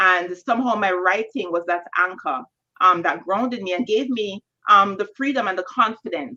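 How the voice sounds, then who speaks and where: With a Jamaican accent, a woman of medium pitch speaks at a moderate pace in a bright, sharp tone with ordinary pitch variation. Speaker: novelist. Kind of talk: panel Q&A answer. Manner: halting, many fillers.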